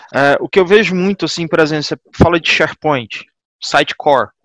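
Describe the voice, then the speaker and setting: Recorded with a dry, close sound and no echo, a man speaks in a high-pitched voice. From Goiânia, Brazil. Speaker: DevOps engineer. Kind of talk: casual group discussion.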